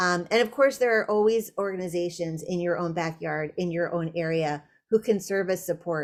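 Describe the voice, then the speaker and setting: A woman speaks in an ordinary speaking voice, fairly low in pitch with ordinary pitch variation. Her pace is moderate, with hardly any pauses. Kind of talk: webinar presentation.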